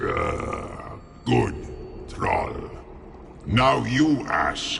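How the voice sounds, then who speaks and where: Over clear background noise, a man growls in a put-on character voice. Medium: video game. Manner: broken simple grammar.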